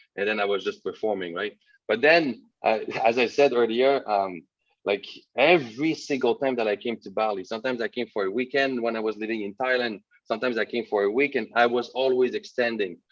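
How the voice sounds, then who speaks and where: Against a quiet background, a man talks fairly quickly in a French Canadian accent, his medium pitch showing ordinary variation. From Quebec, north shore (Sept-Îles). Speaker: entrepreneur, webinar guest. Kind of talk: interview. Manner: hesitant, many fillers.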